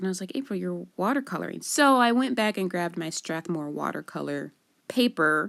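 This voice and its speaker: Her pitch swinging very widely, a woman speaks at a fairly quick pace. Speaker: card-making crafter. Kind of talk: crafting tutorial. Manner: casual, chatty.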